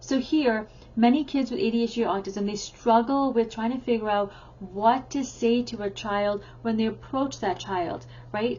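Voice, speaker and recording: Speaking at a moderate pace in a normal speaking voice, a woman uses a fairly high pitch with ordinary pitch variation. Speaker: teacher and parenting educator. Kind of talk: tutorial.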